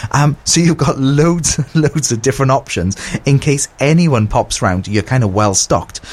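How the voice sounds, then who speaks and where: A fairly high-pitched man with a somewhat breathy voice. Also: moderate pace. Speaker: radio host. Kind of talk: radio dj patter. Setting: radio studio. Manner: chatty, informal, rambling, self-deprecating.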